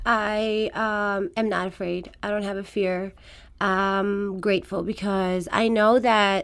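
In a very clean recording with a silent background, a woman with an Iranian accent talks at a medium pitch with fairly even intonation. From Afghanistan. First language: Farsi. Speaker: fitness trainer. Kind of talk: radio interview. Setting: studio.

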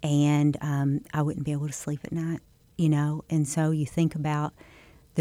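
A woman's very deep, low voice with an American accent, a dark, mellow tone and monotone, flat intonation on a very clean recording with a silent background. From Southeast Missouri. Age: 50s. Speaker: state senator. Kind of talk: interview. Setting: studio.

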